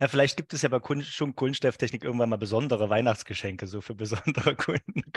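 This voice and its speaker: Very fast speech from a man at medium pitch, somewhat breathy, with ordinary pitch variation and a dry, close sound with no echo. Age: 40s. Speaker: podcast host. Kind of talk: interview. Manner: hesitant, many fillers.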